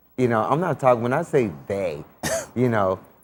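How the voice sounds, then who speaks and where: A man in an American accent talks with lively intonation in a normal speaking voice. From Chicago. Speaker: TV talk show host. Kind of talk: interview.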